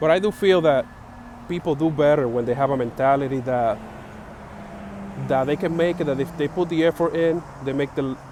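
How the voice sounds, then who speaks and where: With a Spanish accent, the speaker moves at a moderate pace with fairly even intonation and long, frequent pauses over noticeable background noise. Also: man. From Dominican Republic. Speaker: vlogger sharing opinions. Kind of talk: personal opinion monologue. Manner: halting, many fillers.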